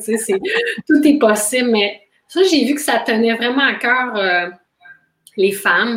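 A woman with an ordinary speaking voice, ordinary pitch variation and a fairly slow pace. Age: 40s. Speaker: intimacy coach. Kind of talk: interview.

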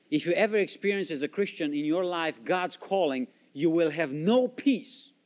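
Here is a man with a Romanian accent and a high pitch. He keeps a moderate pace. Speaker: missionary. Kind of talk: testimony. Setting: church.

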